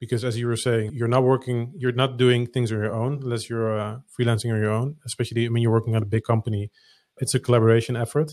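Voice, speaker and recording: On a very clean recording with a silent background, a man with a Dutch accent speaks at a very fast pace in a medium pitch with monotone, flat intonation. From Netherlands.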